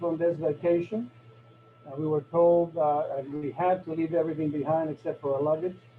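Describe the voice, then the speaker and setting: Over noticeable background noise, a man with a Spanish accent talks at a fairly high pitch. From Cuba, raised in Florida. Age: 60s. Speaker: neurosurgeon. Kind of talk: talk to a club meeting.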